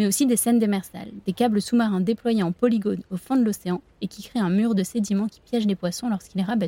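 At a fairly quick pace, a woman talks in a medium pitch with a dark, mellow, somewhat breathy tone and ordinary pitch variation, the sound dry and close with no echo. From France, La Rochelle (Atlantic coast). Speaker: podcast host. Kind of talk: scripted narration.

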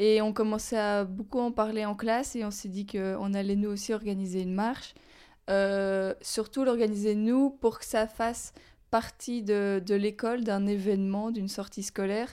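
A woman's dark, mellow, medium-pitched voice at a fairly slow pace, flat and monotone, in a very clean recording with a silent background. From Belgium, Walloon Brabant. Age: 20s. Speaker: climate activist and student. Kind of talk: interview. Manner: halting.

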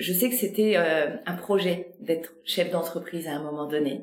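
Over noticeable background noise and audible room echo, a woman with a fairly low pitch speaks at a moderate pace with ordinary pitch variation. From Normandy and Brittany, France. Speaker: podcast host, business consultant. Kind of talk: interview conversation.

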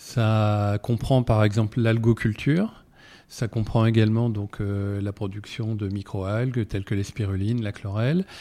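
A man's dark, mellow tone sits at a fairly low pitch, delivered at a fairly slow pace with fairly even intonation. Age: 50s. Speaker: aquaculture entrepreneur. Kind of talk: interview. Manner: halting.

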